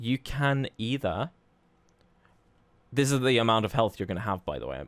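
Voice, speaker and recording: Delivered at a fairly quick pace with vocal fry, the voice sounds dry and close with no echo on a very clean recording with a silent background. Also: man. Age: 30s. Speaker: speedrunner and streamer. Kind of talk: tutorial. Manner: casual, conversational.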